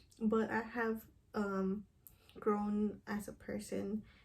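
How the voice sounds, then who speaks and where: Somewhat breathy and dark, mellow in tone, a woman with a Spanish accent speaks at medium pitch in a monotone, flat intonation. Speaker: counseling program applicant. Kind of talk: recorded application interview. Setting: self-recorded video. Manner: hesitant, with fillers.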